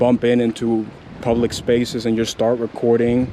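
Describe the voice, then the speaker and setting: A man at a medium pitch and a fairly slow pace, with noticeable background noise. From Cuba, Camagüey. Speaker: vlogger. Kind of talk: casual chat. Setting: outdoors.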